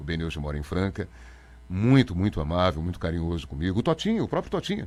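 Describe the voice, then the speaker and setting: Very fast talk from a man with a very deep, low pitch and ordinary pitch variation. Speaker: radio announcer. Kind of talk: interview.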